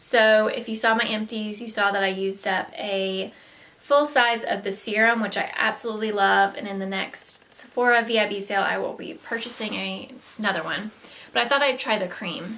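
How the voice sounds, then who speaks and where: Fairly high-pitched woman in a Southern US accent, with fairly even intonation over noticeable background noise. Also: moderate pace. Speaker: beauty vlogger. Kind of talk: casual product haul talk. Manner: hesitant, many fillers.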